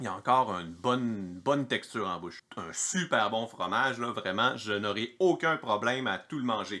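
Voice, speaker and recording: With a Quebec accent, a man speaks at a moderate pace in a bright, sharp, medium-pitched voice with lively intonation. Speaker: home cheesemaker, video host. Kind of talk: cheese tasting video. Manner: casual, chatty.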